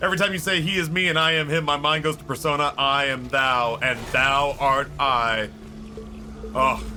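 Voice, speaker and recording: A man's fairly high voice at a moderate pace and with ordinary pitch variation, over noticeable background noise. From Texas (Dallas). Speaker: video game streamer. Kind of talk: casual gaming livestream commentary. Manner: casual, relaxed.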